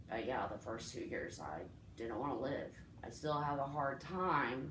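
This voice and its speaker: Ordinary pitch variation comes through with audible room echo. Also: woman. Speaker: vlogger sharing personal story. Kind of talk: casual storytime monologue. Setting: home recording with friend present. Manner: rambling, halting.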